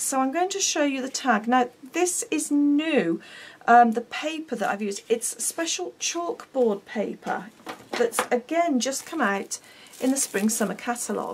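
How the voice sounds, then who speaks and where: Her voice is high-pitched, with lively intonation and a British accent. The woman speaks at a fairly slow pace. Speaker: craft demonstrator. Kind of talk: tutorial. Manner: chatty; halting.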